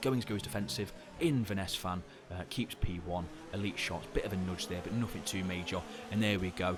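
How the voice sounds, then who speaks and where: This man rushes along at a very fast pace with ordinary pitch variation, and noticeable background noise can be heard. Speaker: sim racing league commentator. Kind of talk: live commentary. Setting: live stream. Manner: animated.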